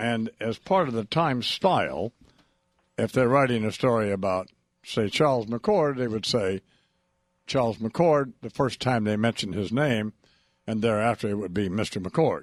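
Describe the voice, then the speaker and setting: A plain, everyday voice speaks with ordinary pitch variation. The sound is dry and close with no echo, on a very clean recording with a silent background. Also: man, medium pitch for a man, moderate pace. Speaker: radio host. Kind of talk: radio interview.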